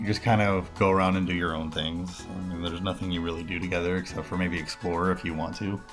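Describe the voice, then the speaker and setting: Music plays in the background. A man talks fairly quickly in a very deep, low voice. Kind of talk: casual gaming commentary.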